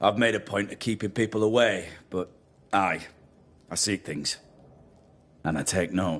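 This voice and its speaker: A man's raspy, put-on character voice, fairly low in pitch, at a moderate pace with long, frequent pauses and a quiet background. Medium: video game. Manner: sardonic, spiteful.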